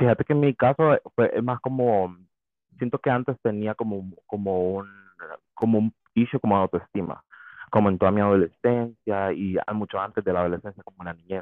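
A man uses a normal speaking voice at a fairly low pitch, with ordinary pitch variation and a moderate pace. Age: 20s. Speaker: podcast guest. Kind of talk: casual chat.

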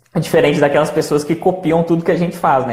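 Audible room echo around a man's voice, pitched fairly high. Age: 20s. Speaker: channel host, entrepreneur. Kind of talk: casual chat on a live stream. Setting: Instagram live.

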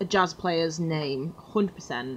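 A woman speaks at a very slow pace. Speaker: podcast co-host. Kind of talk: casual chat.

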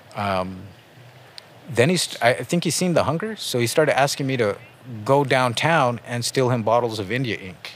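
A man with an American accent, medium in pitch and lively in intonation, against noticeable background noise. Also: moderate pace. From San Jose, California (North side), Chicano family. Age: 40s. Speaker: tattoo artist. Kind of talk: interview. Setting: outdoors in a park.

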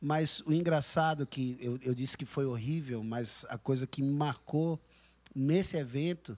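A man's fairly high voice, dark and mellow in tone, at a fairly slow pace with ordinary pitch variation. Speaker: church worship leader. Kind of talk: casual interview. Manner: halting.

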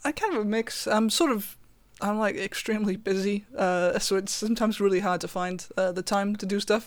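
A woman with a south Wales accent talks at a fairly quick pace, her medium pitch showing ordinary variation. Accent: south Wales Welsh. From south Wales valleys. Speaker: guitarist. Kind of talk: casual interview chat.

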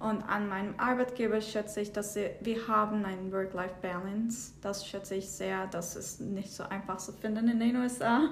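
Speaking in a Turkish accent at a moderate pace, a woman with a medium-pitched voice talks in a flat monotone with hardly any pauses, over noticeable background noise and audible room echo. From southern Turkey. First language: Turkish (speaking German). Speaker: data analyst. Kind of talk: interview. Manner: halting, with hesitations.

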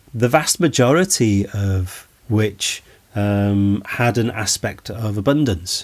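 Pitch shifts in an ordinary way. The delivery is very slow. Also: man, fairly low pitch for a man. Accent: Welsh. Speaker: lecturer on Celtic mythology. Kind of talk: lecture. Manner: measured, hesitant with fillers.

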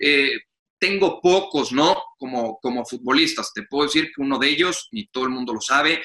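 With a Mexican accent, a man speaks at a moderate pace in a fairly high pitch. His tone is bright and sharp, with ordinary pitch variation. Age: 30s. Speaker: sports journalist and commentator. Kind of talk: interview.

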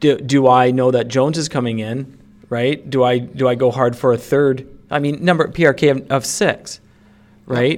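A man's unremarkable speaking voice at medium pitch, with fairly even intonation, a moderate pace and big swings in loudness. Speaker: fantasy hockey podcast co-host. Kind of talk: casual chat.

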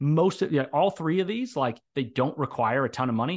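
A man with a plain, everyday voice talks at a fairly quick pace with ordinary pitch variation over a quiet background. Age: 30s. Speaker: author and software developer. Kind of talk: interview, casual chat.

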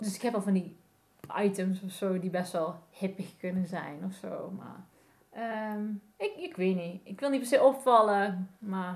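Somewhat breathy, a woman talks at a very slow pace with long, frequent pauses, ordinary pitch variation and big swings in loudness. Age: 40s. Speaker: graphic designer, vintage fashion entrepreneur. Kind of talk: casual interview chat. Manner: halting, many fillers.

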